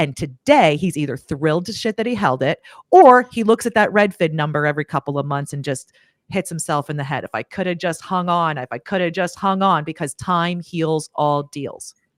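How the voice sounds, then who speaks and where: On a very clean recording with a silent background and a dry, close sound with no echo, a woman with an American accent talks fairly quickly at a fairly low pitch, animated in tone and lively in intonation. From Pennsylvania (Lancaster). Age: 40s. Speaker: property manager. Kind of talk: livestream panel discussion.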